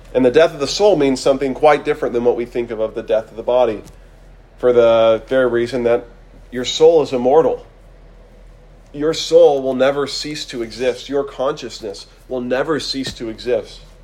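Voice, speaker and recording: Background noise is noticeable throughout. Over it, a man talks at a moderate pace with fairly even intonation. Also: medium pitch for a man. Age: 20s. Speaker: preacher. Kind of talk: sermon.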